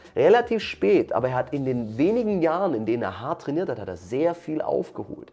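Over noticeable background noise, a man with a fairly high pitch speaks at a fairly quick pace with very wide pitch swings. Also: hardly any pauses. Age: 30s. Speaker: martial arts coach, former pro MMA fighter. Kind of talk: interview.

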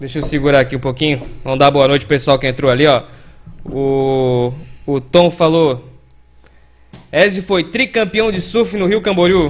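Speaking at a moderate pace, a man uses lively intonation in a fairly high voice. He leaves long, frequent pauses. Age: 40s. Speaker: podcast host. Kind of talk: casual chat.

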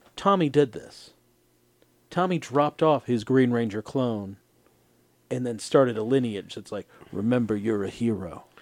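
His speech has lively intonation and big swings in loudness, with long, frequent pauses. The man talks at a moderate pace and medium pitch. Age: 30s. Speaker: podcast host. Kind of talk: casual chat. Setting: studio.

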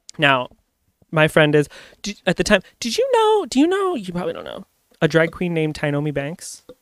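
In an animated tone, a man talks at a fairly quick pace with big swings in loudness. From Ontario, Canada (Amherstburg). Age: 30s. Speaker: podcast co-host. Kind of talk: casual chat. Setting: on a couch at home.

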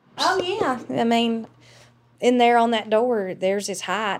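This voice carries a Southern US accent. It moves at a moderate pace with ordinary pitch variation. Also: woman. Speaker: former town clerk. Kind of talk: interview.

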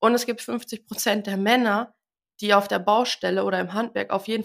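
A woman's unremarkable speaking voice at a medium pitch and moderate pace, fairly even in intonation, in a very clean recording with a silent background. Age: 20s. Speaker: tradeswoman and social media creator. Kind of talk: interview.

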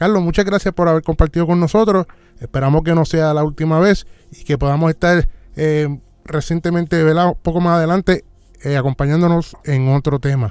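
This man has an ordinary speaking voice, fairly high in pitch, and talks at a fairly quick pace. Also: fairly even intonation. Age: 40s. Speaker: podcast host. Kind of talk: talk show monologue.

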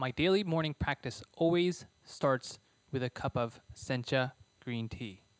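Heard as a dry, close sound with no echo, a man with an unremarkable speaking voice talks at a fairly slow pace, at medium pitch with ordinary pitch variation. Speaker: podcast host. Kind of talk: interview, polished intro.

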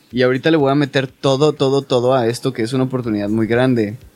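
Fairly quick speech over music in the background. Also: man. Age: 20s. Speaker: special effects makeup artist. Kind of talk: casual chat.

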